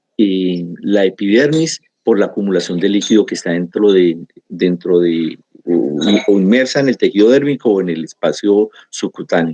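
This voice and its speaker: This man has a dark, mellow tone and fairly low pitch, talking at a moderate pace with lively intonation in a dry, close sound with no echo. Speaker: pathology lecturer. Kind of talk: lecture.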